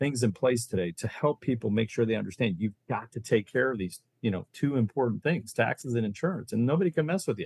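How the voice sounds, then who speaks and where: Speaking at a very fast pace, a man with an American accent has a medium pitch and a somewhat breathy voice. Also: lively intonation, dry, close sound with no echo. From Ohio, US Midwest. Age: 60s. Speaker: reverse mortgage loan officer. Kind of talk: podcast interview. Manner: animated.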